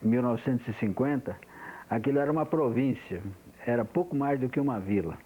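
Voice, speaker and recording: At a moderate pace, a man speaks in a dark, mellow tone with a medium pitch and ordinary pitch variation. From interior of São Paulo state, Brazil. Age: 60s. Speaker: engineer interviewee giving oral history. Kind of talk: oral history testimony. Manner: halting, with many repetitions.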